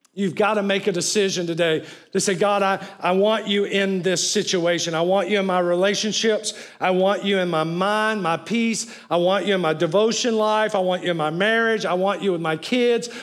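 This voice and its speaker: A man speaks at a high pitch and a moderate pace. His loudness stays very even, with hardly any pauses. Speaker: preacher. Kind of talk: sermon preached to a live congregation, call-and-response. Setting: church with live audience. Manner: animated, emphatic, rallying the crowd with "say amen" prompts; urgent, building pulpit delivery.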